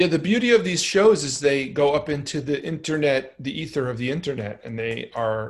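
Here a man speaks with an American accent at a moderate pace. His voice is somewhat breathy. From New York (Brooklyn). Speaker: podcast host, musician. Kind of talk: casual chat.

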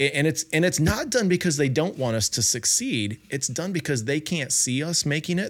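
In a normal speaking voice, a man talks at a fairly quick pace with hardly any pauses. His fairly high pitch has lively intonation, and the recording is very clean with a silent background. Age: 50s. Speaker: podcast host. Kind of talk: interview conversation.

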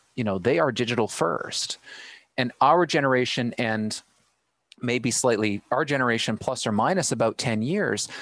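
A man with a Canadian accent uses an ordinary speaking voice at medium pitch. He talks at a fairly slow pace with ordinary pitch variation against a quiet background. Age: 30s. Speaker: live streaming specialist. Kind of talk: casual chat. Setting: video call live stream.

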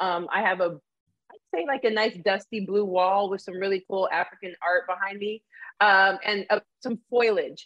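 A woman with a plain, everyday voice talks at a moderate pace, medium in pitch, with fairly even intonation. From Arizona, US (born in Canada). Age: 40s. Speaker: diversity educator and former college coach. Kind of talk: live-streamed interview conversation. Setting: live video stream.

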